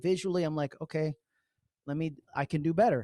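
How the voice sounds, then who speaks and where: A man with a New York accent talks at a fairly quick pace in an animated tone with ordinary pitch variation. The sound is dry and close, with no echo. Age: 40s. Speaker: social media trainer. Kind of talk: online training webinar. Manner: fast.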